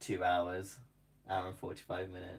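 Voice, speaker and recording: A man with a southern British accent speaks very fast in a very deep, low voice that is somewhat breathy. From southern England. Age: 20s. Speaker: crochet content creator. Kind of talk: casual live stream chat. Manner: casual and chatty.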